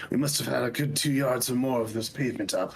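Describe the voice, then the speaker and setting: A man does a raspy, put-on character voice at medium pitch and a very fast pace. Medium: fan dub. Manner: blustering, hesitant.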